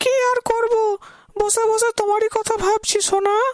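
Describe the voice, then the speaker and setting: In a cartoonish character voice, a woman speaks at an extremely high pitch with monotone, flat intonation and a dry, close sound with no echo. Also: moderate pace. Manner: chatty.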